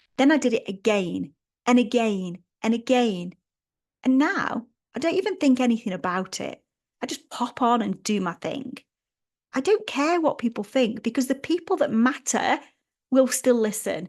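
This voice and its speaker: In a Stoke accent, a woman with a high voice speaks at a moderate pace with very wide pitch swings and long, frequent pauses. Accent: Stoke-on-Trent English. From Stoke-on-Trent, England.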